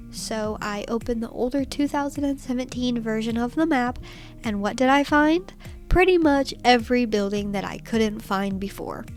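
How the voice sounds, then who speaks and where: A woman talks at a moderate pace, her pitch fairly high and varying in an ordinary way. Background music plays throughout. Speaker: Minecraft builder. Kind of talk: gaming build commentary.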